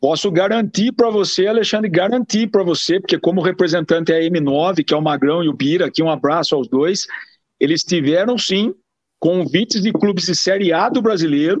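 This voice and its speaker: Loudness stays very even as a man with a high voice speaks at a moderate pace, his pitch varying in an ordinary way. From Piracicaba, São Paulo state, Brazil. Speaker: football agent. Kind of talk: interview.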